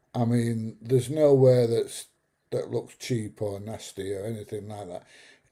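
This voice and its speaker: A man speaks at a medium pitch and a fairly slow pace, with a dark, mellow, somewhat breathy tone. His intonation is fairly even while his loudness swings widely, on a very clean recording with a silent background. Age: 70s. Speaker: YouTube travel vlogger. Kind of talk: casual chat. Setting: live stream from home.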